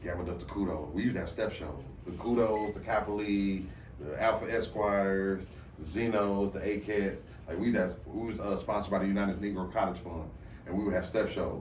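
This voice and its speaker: A man with a fairly low pitch speaks at a fairly quick pace amid audible room echo. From Flint, Michigan, US Midwest. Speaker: event host and MC. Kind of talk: casual podcast interview. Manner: loud; animated.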